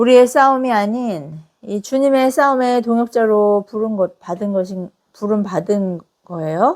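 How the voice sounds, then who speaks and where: Her intonation is lively and her pitch fairly high. The woman speaks at a fairly slow pace. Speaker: pastor. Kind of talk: sermon.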